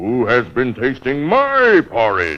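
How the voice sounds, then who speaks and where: Bellowing at a fairly slow pace, a man performs a put-on character voice. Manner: roaring.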